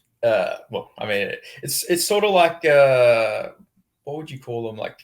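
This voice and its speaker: With an Australian accent, a man speaks at a fairly slow pace. His loudness swings widely. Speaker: journalist. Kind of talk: interview. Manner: halting.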